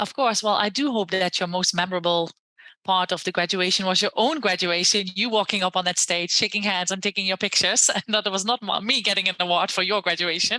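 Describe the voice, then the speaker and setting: A woman with a Dutch accent speaks at a very fast pace, medium in pitch and bright, sharp in tone. Her intonation is fairly even, her loudness very even, and the sound is dry and close with no echo. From Netherlands. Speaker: university lecturer and education entrepreneur. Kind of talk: podcast interview.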